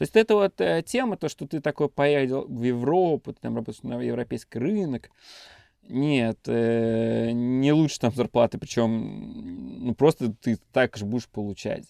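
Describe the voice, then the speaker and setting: A man speaks at a fairly slow pace, the sound dry and close with no echo. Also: big swings in loudness. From Russia, Tatarstan (Bugulma). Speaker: managing director of a web studio. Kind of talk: casual interview. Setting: studio. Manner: animated.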